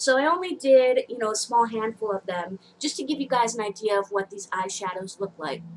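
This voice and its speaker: With lively intonation, a woman talks at a fairly high pitch. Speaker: beauty vlogger. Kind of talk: casual product review. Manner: loud, talking over noise; hesitant, many fillers.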